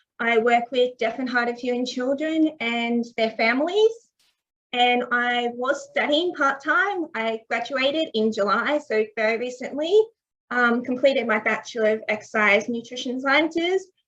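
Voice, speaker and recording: Speaking at a moderate pace, a woman with an Australian accent has a high pitch and ordinary pitch variation. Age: 20s. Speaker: deaf athlete. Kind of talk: presentation. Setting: online event.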